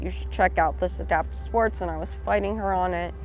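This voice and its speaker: Music plays in the background as a woman speaks. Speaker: Navy veteran, cancer survivor, adaptive athlete. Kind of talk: interview testimony. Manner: halting, many fillers.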